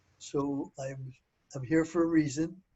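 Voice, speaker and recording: This man's voice is pitched fairly high and delivered at a fairly slow pace. His intonation stays flat and monotone. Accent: Philadelphia. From US Northeast, Philadelphia. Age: 80s+. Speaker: inventor. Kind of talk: interview.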